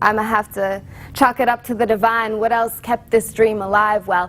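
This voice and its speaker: Fairly high-pitched woman at a moderate pace, with noticeable background noise. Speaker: slam poet. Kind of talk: slam poetry performance.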